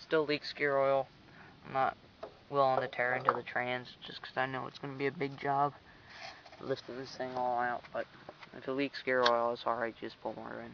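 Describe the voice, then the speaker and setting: A man speaks at a moderate pace in a monotone, flat intonation. The sound is dry with no echo, and there is noticeable background noise. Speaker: hobbyist tractor restorer. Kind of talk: casual show-and-tell commentary. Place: garden. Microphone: phone near.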